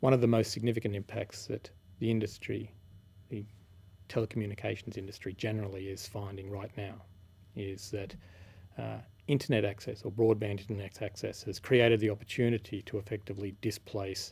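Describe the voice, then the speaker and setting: Soft-spoken and somewhat breathy, a man talks at a fairly quick pace in a flat monotone with fairly low pitch, on a very clean recording with a silent background. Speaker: telecommunications engineer. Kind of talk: interview answer.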